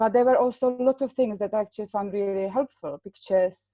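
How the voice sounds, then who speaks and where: A woman with a non-native accent talks at a fairly quick pace. Her pitch varies in an ordinary way. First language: not English. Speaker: patient partner. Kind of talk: webinar discussion.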